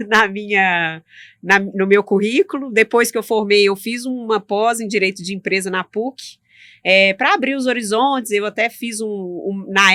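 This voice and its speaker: In a Minas Gerais accent, a woman speaks with a bright, sharp tone and fairly even intonation, recorded with a dry, close sound and no echo. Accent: Minas Gerais accent, persistent. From Minas Gerais, Brazil. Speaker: tax lawyer. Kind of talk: interview.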